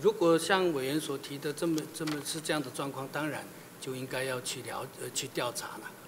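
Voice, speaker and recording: A man's fairly high-pitched voice comes through noticeable background noise. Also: ordinary pitch variation, moderate pace. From Taiwan. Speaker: senior government official, nominee. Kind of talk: answering at confirmation hearing; interview answer. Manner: halting, repeats words. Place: hall. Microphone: podium.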